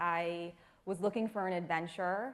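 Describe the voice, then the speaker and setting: An unremarkable speaking voice from a woman with an American accent, fairly low in pitch, with fairly even intonation and a moderate pace. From US. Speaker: nonprofit staff member. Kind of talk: panel discussion.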